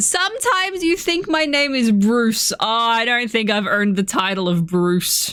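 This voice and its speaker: A voice at a moderate pace with very wide pitch swings and very even loudness. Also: woman, fairly high pitch for a woman. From Australia. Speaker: gaming streamer. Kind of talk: casual chat.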